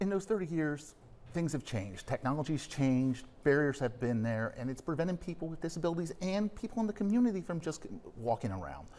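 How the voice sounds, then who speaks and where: A man talks at a fairly quick pace in a dark, mellow tone, his pitch swinging very widely. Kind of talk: interview answer. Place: studio. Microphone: lapel.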